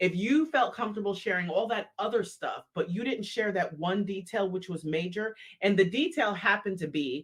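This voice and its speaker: Here is a normal speaking voice from a woman. She speaks at a moderate pace and a medium pitch. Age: 50s. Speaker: podcast co-host. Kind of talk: casual podcast conversation. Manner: candid, humorous.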